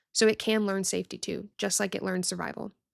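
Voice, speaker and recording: A woman speaks at a fairly quick pace. The recording is very clean and dry, with a silent background and close sound with no echo. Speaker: podcast host on health anxiety. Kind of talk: solo podcast talk. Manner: casual, conversational; sometimes stumbles over words.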